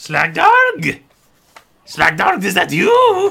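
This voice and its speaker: The speaker uses a squeaky, put-on character voice. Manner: bleary, feeble.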